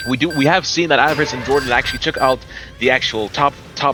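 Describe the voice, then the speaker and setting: Very fast speech with music in the background. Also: man. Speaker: esports caster. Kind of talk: live commentary. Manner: animated.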